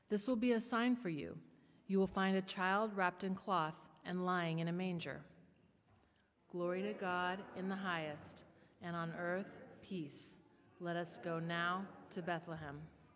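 The speech is fairly slow, with long, frequent pauses and fairly even intonation. Noticeable background noise runs underneath. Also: woman. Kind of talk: liturgical reading and prayer. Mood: calm, reverent. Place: church. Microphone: podium.

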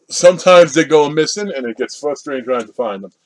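A man speaks at a moderate pace, and the background is quiet. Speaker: collector vlogger. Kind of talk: casual vlog chat. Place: home room. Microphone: webcam.

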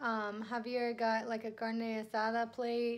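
The woman's voice sits at a high pitch. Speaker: travel vlogger. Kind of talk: casual vlog chat. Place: home room. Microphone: phone near.

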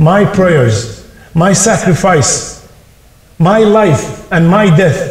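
A man's high-pitched voice with audible room echo. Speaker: religious teacher. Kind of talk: sermon / religious talk. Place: hall.

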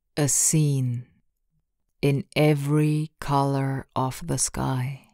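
The woman's voice is very deep and low, with a monotone, flat intonation. She speaks at a very slow pace. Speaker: poet. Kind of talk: poetry reading.

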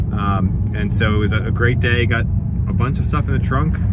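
The sound is dry with no echo, set against loud background noise. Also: man. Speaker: hobby vlogger. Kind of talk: casual vlog chat. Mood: happy, upbeat. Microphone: phone near.

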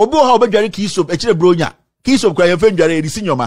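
Against a quiet background, a man talks in an animated tone with lively intonation. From Ghana. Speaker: political commentator. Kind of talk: political commentary rant. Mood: indignant, confrontational. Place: studio. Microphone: studio mic.

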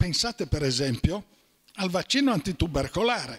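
The speaker talks at a moderate pace with very wide pitch swings. The background is quiet. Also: man. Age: 80s+. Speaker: doctor; conference speaker. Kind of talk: lecture. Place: hall. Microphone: handheld.

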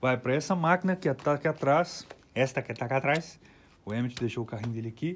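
In an ordinary speaking voice, the speaker goes at a fairly quick pace with lively intonation. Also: man. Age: 40s. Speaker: recording studio owner and producer. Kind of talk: studio tour tutorial. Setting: recording studio. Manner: casual, slangy. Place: studio. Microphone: phone near.

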